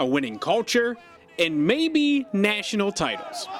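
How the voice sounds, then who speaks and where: A man's high-pitched voice with very wide pitch swings, a fairly slow pace and noticeable background noise. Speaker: sports anchor and reporter. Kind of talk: TV sports feature narration.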